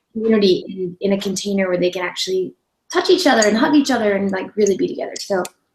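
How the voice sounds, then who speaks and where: Her voice has a fairly high pitch and is somewhat breathy. The woman's pitch variation is ordinary. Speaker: online radio host. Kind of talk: interview. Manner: gentle.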